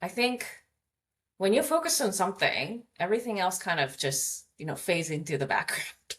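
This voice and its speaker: This woman talks with a Japanese accent in a bright, sharp tone at a medium pitch. Her pitch swings very widely. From Japan (Hamamatsu). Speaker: communications coach. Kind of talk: interview conversation.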